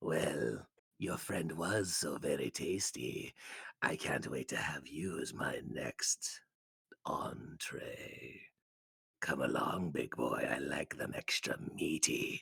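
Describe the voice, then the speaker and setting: Using a put-on character voice, a man speaks very slowly in a raspy, menacing tone. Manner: creepy, seductive, menacing.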